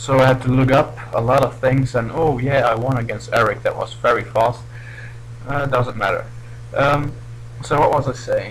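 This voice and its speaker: A man with a non-native accent at a moderate pace, over noticeable background noise. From Belgium. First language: not English. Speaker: gaming commentator. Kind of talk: gameplay commentary. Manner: halting.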